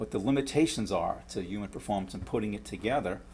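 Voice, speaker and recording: With a New York accent, a man speaks at a fairly quick pace in a fairly low pitch, showing vocal fry and lively intonation. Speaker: professor. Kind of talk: lecture. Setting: lecture hall with audience. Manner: halting with frequent repetitions.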